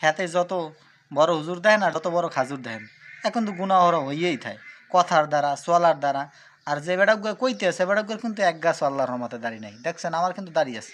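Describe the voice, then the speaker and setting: A man speaks with a high pitch and lively intonation. His loudness swings widely. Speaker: Islamic YouTube commentator. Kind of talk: video commentary addressed to viewers.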